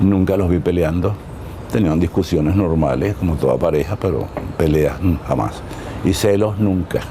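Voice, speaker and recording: Over noticeable background noise, a man talks at a moderate pace in a very deep, low pitch, with ordinary pitch variation and very even loudness. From Venezuela. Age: 80s+. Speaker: dancer and choreographer. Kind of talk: interview. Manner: halting.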